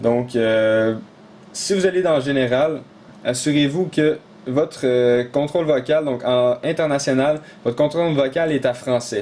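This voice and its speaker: A man with a Quebec accent speaks at a fairly slow pace and fairly high pitch, with ordinary pitch variation and very even loudness. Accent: Québécois French. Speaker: tech tutorial YouTuber. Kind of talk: tutorial. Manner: casual, many filler hesitations.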